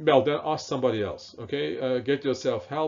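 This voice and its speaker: In a German accent, a man speaks with fairly even intonation. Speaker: professor. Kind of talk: lecture. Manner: hesitant, many fillers.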